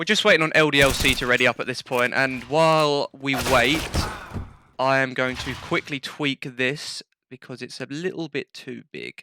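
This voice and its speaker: A man with a British accent speaks at a moderate pace and medium pitch, his bright, sharp tone showing big swings in loudness but fairly even intonation. The sound is dry and close with no echo, on a very clean recording with a silent background. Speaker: esports caster. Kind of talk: live commentary. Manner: casual, chatty.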